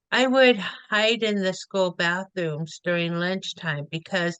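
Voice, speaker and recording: A plain, everyday voice with ordinary pitch variation, dry and close with no echo. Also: woman. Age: 60s. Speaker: food bank advocate, senior volunteer. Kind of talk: reading aloud a prepared personal story.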